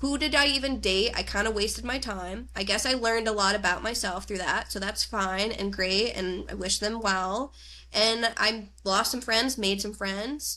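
An American accent with a bright, sharp tone and vocal fry, at a moderate pace with ordinary pitch variation and hardly any pauses. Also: woman, medium pitch for a woman. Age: 30s. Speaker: Ayurveda health counselor and intuitive healer. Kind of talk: casual chat. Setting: video call.

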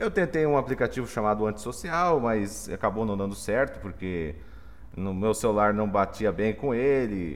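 A man with a plain, everyday voice, fairly low pitch, lively intonation and a moderate pace. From Mato Grosso do Sul, Brazil. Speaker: software engineering professor. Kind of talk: casual chat.

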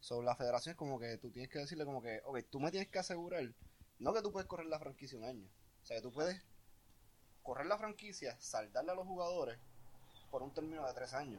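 A man talks at a very fast pace with lively intonation, broken by long, frequent pauses. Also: fairly high pitch for a man. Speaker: podcast guest. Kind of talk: casual chat.

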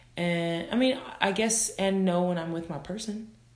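Noticeable background noise runs behind a woman speaking at a very slow pace. Her pitch is medium, with ordinary variation. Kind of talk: casual chat. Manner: loud, animated.

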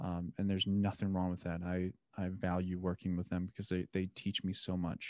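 Speaking at a fairly quick pace, a man with a very deep, low pitch keeps a monotone, flat intonation in a dry, close recording with no echo. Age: 30s. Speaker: podcast host. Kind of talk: casual chat.

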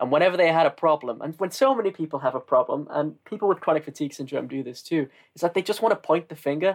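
Someone with a northern English accent talks at a very fast pace with lively intonation, in a dry, close sound with no echo and a quiet background. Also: man, fairly high pitch for a man. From northern England. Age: 20s. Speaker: marketer and aspiring comedian. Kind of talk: casual interview conversation.

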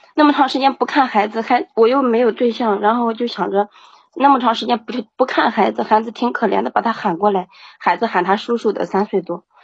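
Somewhat breathy and fairly high-pitched, a woman talks at a fairly quick pace with ordinary pitch variation. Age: 30s. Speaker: single mother caller. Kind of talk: call-in advice conversation.

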